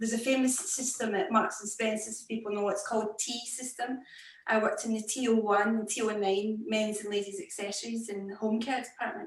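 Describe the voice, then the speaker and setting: A woman with a Scottish accent, fairly high in pitch, with fairly even intonation over noticeable background noise. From Scotland. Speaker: fashion executive. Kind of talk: interview. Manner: slow.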